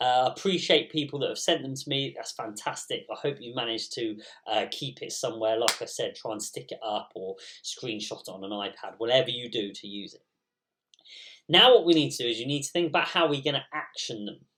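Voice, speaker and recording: The speaker has an English accent. The pace is fairly quick. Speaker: primary school teacher. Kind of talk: recorded school assembly. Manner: hesitant with many ums.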